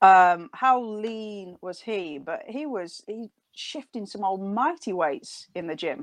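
A woman at a medium pitch in a northern accent, very slow, with very wide pitch swings and big swings in loudness, against a quiet background. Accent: northern, stronger than Nottingham. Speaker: doctor, strength training expert. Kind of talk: interview. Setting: video call.

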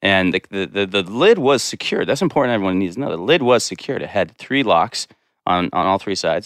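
A fairly low-pitched man with an American accent, fairly quick and with lively intonation, on a very clean recording with a silent background. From Montana, US (Bozeman area). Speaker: chef and food entrepreneur, electrical injury survivor. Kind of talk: casual interview. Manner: halting, many fillers.

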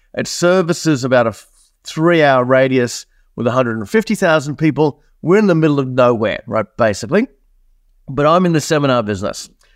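With an Australian accent, this speaker talks fairly quickly. The delivery keeps a brisk clip throughout. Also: man, fairly high pitch for a man, lively intonation. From Australia, born in New Zealand. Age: 50s. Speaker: business coach and entrepreneur. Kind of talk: interview. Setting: video call. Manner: animated.

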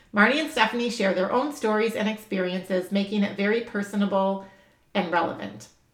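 A woman talks at a fairly quick pace with medium pitch and ordinary pitch variation. Hers is an unremarkable speaking voice. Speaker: podcast host. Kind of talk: podcast intro and interview conversation.

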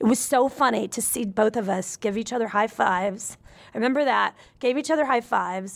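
A woman's plain, everyday voice with an American accent, at a fairly high pitch and a fairly quick pace, with ordinary pitch variation, on a very clean recording with a silent background. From US South, Nashville, Tennessee. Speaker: musician and comedian. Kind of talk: casual chat.

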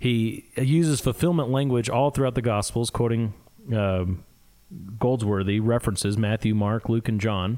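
Spoken with a Midwestern US accent at a moderate pace, the voice has a dark, mellow tone and very even loudness. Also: man, medium pitch for a man, ordinary pitch variation. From US Midwest. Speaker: podcast co-host. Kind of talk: casual theological discussion.

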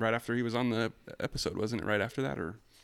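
A man with an American accent talks in a normal speaking voice at medium pitch with fairly even intonation, in a very clean recording with a silent background. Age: 30s. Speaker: car enthusiast guest.

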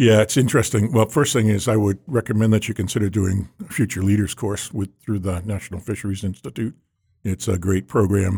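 Fairly quick, somewhat breathy speech from a man with a dark, mellow tone and an American accent. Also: fairly low pitch for a man, ordinary pitch variation. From Massachusetts, North Shore of Boston. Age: 60s. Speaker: seafood industry executive. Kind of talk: casual interview.

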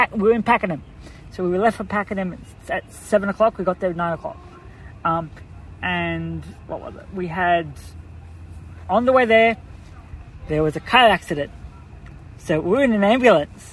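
Speaking in an Australian accent at a high pitch for a man, he keeps a moderate pace with long, frequent pauses, big swings in loudness, and ordinary pitch variation. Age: 20s. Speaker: brain tumour patient and volunteer first aider. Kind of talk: casual interview. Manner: halting, many fillers and restarts.

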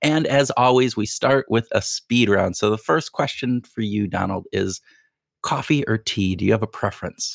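A man speaks in a plain, everyday voice at a medium pitch. The very clean recording has a silent background and a dry, close sound with no echo. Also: ordinary pitch variation, moderate pace. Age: 50s. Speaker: podcast host. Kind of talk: casual interview.

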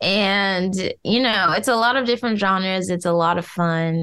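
A normal speaking voice comes through at a moderate pace. The background is quiet. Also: woman. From US Midwest. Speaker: voice actress and singer. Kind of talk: casual interview.

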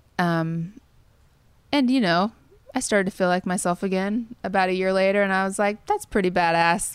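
A woman with an American accent has an ordinary speaking voice at a medium pitch. Her moderate pace comes with fairly even intonation and very even loudness. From Kansas, US Midwest. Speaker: songwriter. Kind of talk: interview.

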